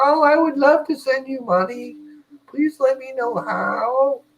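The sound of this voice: A put-on character voice pitched high. It moves at a fairly slow pace.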